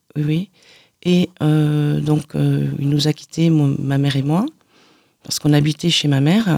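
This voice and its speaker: A woman's very deep, low voice with a dark, mellow tone, a very slow pace, long, frequent pauses and fairly even intonation, dry and close with no echo. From southern France (Aude, Carcassonne area). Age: 50s. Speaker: author giving testimony. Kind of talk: radio interview testimony. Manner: halting, many repetitions.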